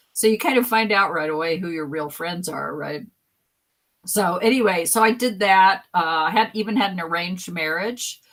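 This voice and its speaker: Medium pitch and ordinary pitch variation in a woman's unremarkable speaking voice. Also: moderate pace. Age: 60s. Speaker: guest. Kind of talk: casual chat.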